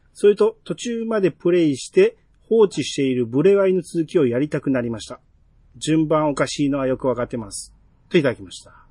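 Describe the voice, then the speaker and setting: In a Kansai accent, a man speaks at a fairly high pitch with a dark, mellow tone and very wide pitch swings. His pace is fairly quick, his loudness swings widely, and the sound is dry and close with no echo. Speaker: podcast host. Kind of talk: casual chat.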